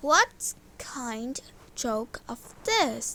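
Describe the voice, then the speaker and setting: Her pitch sits high. This woman is doing a put-on character voice. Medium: read story. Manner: grumbling, irritable.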